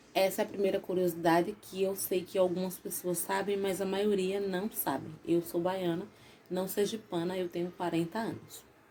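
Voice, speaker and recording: At a moderate pace, a woman of medium pitch speaks with a monotone, flat intonation. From Bahia, Brazil (Salvador), raised in Sergipe. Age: 40s. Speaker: YouTuber. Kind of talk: casual vlog storytelling.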